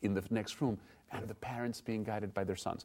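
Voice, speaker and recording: With a Spanish accent, a man speaks in a dark, mellow tone. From Mexico. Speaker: museum director. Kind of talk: interview. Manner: halting.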